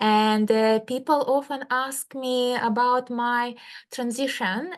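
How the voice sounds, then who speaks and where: Against a quiet background, a woman with a Russian accent talks very slowly at a high pitch, her intonation fairly even. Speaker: medical doctor and healer. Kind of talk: interview.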